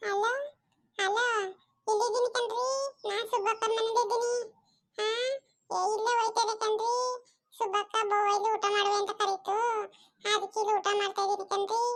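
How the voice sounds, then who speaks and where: Using a cartoonish character voice pitched extremely high, a woman speaks fairly slowly in a monotone, flat way. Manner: fawning, chatty.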